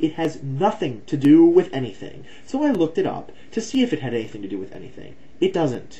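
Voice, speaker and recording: With a somewhat breathy voice, a man talks using lively intonation. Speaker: video blogger. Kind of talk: heated rant. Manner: fast; animated.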